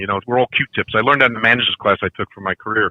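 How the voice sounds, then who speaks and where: With a Brooklyn accent, a man speaks at a very fast pace. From Brooklyn, New York. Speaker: podcast guest, figure collector. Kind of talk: casual chat. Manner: talkative.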